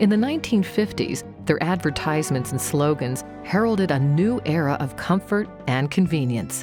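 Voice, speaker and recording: Against music in the background, a woman with a very deep, low pitch speaks at a moderate pace with very wide pitch swings and hardly any pauses. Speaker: narrator. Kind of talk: documentary narration.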